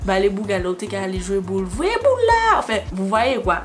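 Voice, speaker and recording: A woman speaks over noticeable background noise. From Martinique. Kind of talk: makeup tutorial talk to camera. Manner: casual, chatty.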